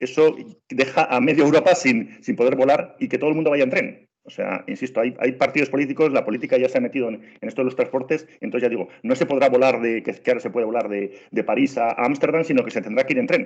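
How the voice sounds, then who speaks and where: A man with a Spanish accent, talking at a very fast pace in an animated tone with hardly any pauses. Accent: Spanish (Spain). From Spain. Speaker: travel trainer, former tour guide. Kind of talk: online training webinar. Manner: animated, many repetitions and fillers.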